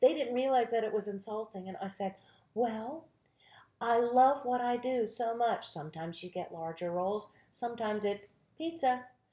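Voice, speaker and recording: Speaking in a Southern US accent, a woman has a dark, mellow tone and a fairly high pitch with lively intonation. Her pace is moderate, and the recording is very clean with a silent background. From North Carolina, small tobacco town. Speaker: actress and acting teacher. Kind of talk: casual interview chat.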